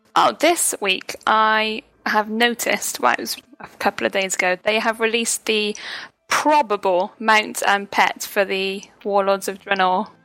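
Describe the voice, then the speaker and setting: Music plays behind a woman speaking at a medium pitch. The sound is dry and close with no echo, and her intonation is fairly even. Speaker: podcast co-host. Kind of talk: casual chat.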